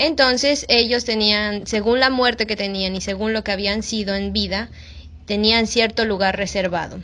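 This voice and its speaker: In a plain, everyday voice, a woman speaks at a fairly high pitch and a moderate pace with fairly even intonation. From Mexico. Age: 20s. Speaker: missionary. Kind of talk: casual interview.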